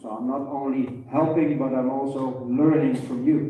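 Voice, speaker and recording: In a Dutch accent, a man with a fairly high pitch speaks at a fairly slow pace, with audible room echo around him. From Netherlands. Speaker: veterinarian. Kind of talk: lecture. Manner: halting.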